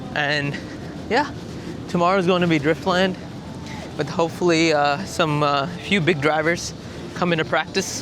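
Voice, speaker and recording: With an American accent and a fairly high voice, a man talks at a moderate pace amid noticeable background noise. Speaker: YouTuber, drifting enthusiast. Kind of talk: travel vlog, casual talk to camera. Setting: outdoors. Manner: animated.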